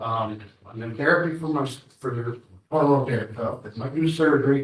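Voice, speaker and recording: Speaking at a moderate pace, a man sounds somewhat breathy. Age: 60s. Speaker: assault victim. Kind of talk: victim statement in court. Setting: courtroom. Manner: halting.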